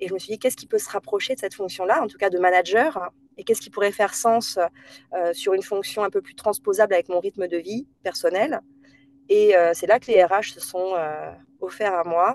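Heard in a dry, close sound with no echo, a woman talks at a fairly quick pace and medium pitch, with ordinary pitch variation. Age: 30s. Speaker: HR director. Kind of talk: interview. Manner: hesitant, many fillers.

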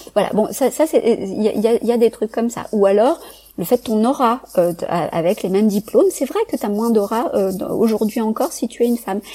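A woman speaks at a moderate pace with a fairly high pitch and ordinary pitch variation over noticeable background noise. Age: 40s. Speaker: psychologist and neuroscience researcher. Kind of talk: casual interview conversation. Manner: halting, many repetitions and hesitations.

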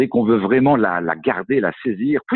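A man is speaking. His intonation is lively. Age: 50s. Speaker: coach and speaker on workplace well-being. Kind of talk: interview. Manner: halting, many hesitations.

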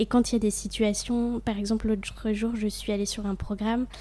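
In a medium-pitched, somewhat breathy voice with a dark, mellow tone, a woman talks in a monotone, flat intonation. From France, Franche-Comté (near Besançon). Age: 20s. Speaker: humanitarian volunteer. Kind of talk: interview.

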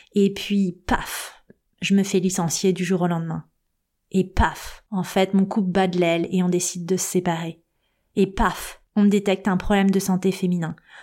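A woman speaks slowly-ish at a medium pitch, her tone dark and mellow, her delivery monotone and flat. The recording is very clean, with a silent background. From Paris suburbs, Seine-Saint-Denis (Aubervilliers). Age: 40s. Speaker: podcast host and life coach. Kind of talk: personal storytelling monologue.

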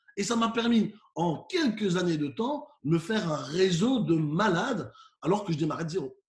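A man with a high pitch uses lively intonation and keeps a moderate pace. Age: 40s. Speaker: professional keynote speaker. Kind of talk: interview.

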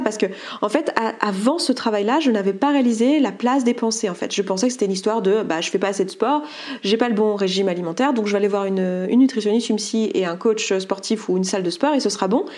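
With noticeable background noise behind her, a woman speaks at a fairly quick pace, fairly high in pitch, with ordinary pitch variation. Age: 30s. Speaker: coach and entrepreneur. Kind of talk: testimony. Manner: halting.

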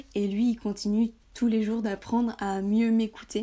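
This woman's voice has a dark, mellow tone and moves at a fairly slow pace. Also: very clean recording, silent background. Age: 20s. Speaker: blogger on high sensitivity. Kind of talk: casual interview chat.

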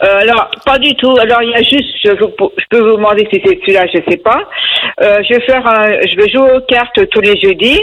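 A woman speaks with a high pitch and lively intonation. Her loudness stays very even. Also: moderate pace. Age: 60s. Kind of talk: call-in conversation. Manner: hesitant.

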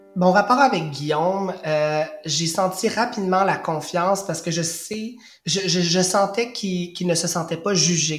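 Over noticeable background noise, a man talks at a fairly slow pace in a high pitch with ordinary pitch variation. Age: 30s. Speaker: primary school teacher. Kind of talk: testimony.

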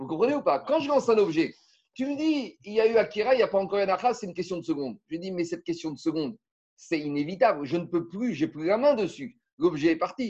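Against a quiet background, a man talks at a very fast pace. His high voice makes very wide pitch swings. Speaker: Talmud teacher. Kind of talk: lecture.

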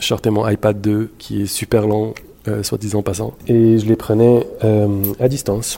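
The delivery is fairly slow, with monotone, flat intonation. Its tone is dark and mellow. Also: man. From Montreal, Quebec (born in Morocco, moved at 5-6). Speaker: photographer. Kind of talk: interview testimony. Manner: halting, repeats words.

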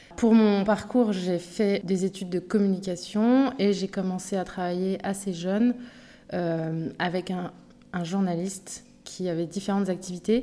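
On a very clean recording with a silent background, a woman speaks in a dark, mellow tone with fairly even intonation. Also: medium pitch for a woman, fairly slow pace. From Paris, Montmartre. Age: 40s. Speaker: podcast guest, mother who moved abroad. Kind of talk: interview testimony. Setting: improvised studio. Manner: hesitant, many fillers.

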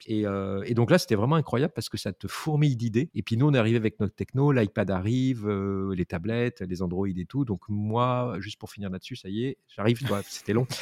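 With hardly any pauses, a man speaks fairly quickly in a fairly low pitch with ordinary pitch variation, in a dry, close sound with no echo. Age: 50s. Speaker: interactive designer. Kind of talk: interview. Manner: halting.

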